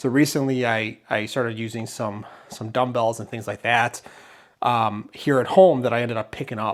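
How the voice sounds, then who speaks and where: A man at medium pitch and a moderate pace, with fairly even intonation. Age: 40s. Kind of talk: casual talk to camera. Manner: hesitant, filler words.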